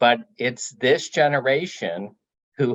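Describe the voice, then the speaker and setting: The speaker is a man. He has an American accent. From US, Ukrainian diaspora. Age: 60s. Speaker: audience member. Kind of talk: panel discussion. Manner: halting.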